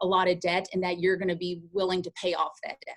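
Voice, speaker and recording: A woman talks at a very fast pace in a fairly low voice. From Kentucky, Shelbyville. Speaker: event marketing professional, alumna speaker. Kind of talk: career talk to students.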